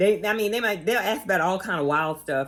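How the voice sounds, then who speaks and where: Here is a woman speaking. Her pitch varies in an ordinary way. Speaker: personal injury lawyer. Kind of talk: casual legal tips vlog while doing makeup. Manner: casual, chatty; quiet in part.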